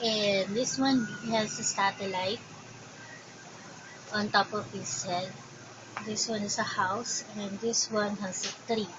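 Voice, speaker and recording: A woman's medium-pitched voice in a Filipino accent, monotone and flat, at a very slow pace with long, frequent pauses over noticeable background noise. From Philippines. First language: Tagalog. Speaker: crochet vlogger. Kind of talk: casual show and tell.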